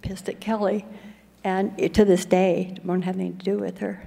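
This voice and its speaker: A woman speaks with an American accent at a moderate pace. Her tone is dark and mellow. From Colorado. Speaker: recovery speaker. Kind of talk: testimony.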